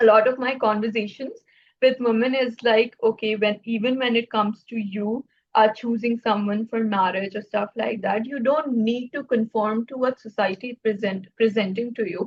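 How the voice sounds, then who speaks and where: A woman with a fairly high, somewhat breathy voice speaks at a moderate pace with fairly even intonation. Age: 20s. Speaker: podcast host. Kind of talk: casual interview. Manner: halting.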